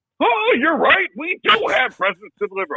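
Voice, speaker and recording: Putting on a character voice, a man pushes his pitch extremely high. It swings very widely at a moderate pace. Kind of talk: different voice, accent and style than earlier. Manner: jolly.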